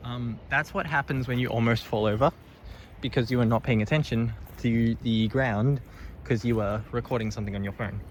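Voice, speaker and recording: With a slight Australian accent, a man speaks at a fairly quick pace, medium pitch and ordinary pitch variation. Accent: weak Australian. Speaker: vlogger. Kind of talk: casual vlog narration. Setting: outdoors, on a bush walk.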